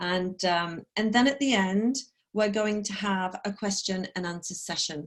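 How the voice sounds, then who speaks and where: Speaking with a slight northeast English accent, a woman keeps her medium pitch and intonation fairly even. Her pace is moderate, and the background is quiet. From northeast England, Sunderland. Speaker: corporate trainer and coach. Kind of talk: online talk. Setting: video call. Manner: casual, filler-heavy.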